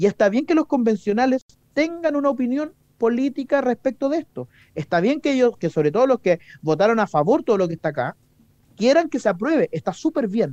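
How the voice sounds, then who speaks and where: In a Chilean accent, a man speaks at a fairly quick pace with an extremely high pitch. His tone is dark and mellow, and his pitch swings very widely. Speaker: politician. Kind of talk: radio interview. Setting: studio.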